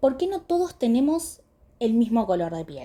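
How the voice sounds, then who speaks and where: Somewhat breathy and with a dark, mellow tone, a woman speaks at a fairly slow pace with very wide pitch swings. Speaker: dermatology lecturer. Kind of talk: lecture.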